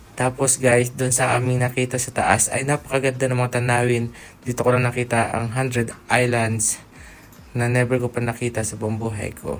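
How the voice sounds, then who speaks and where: Over music in the background, a man speaks at a medium pitch in a monotone, flat intonation. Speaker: vlogger. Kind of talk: travel vlog narration. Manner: casual.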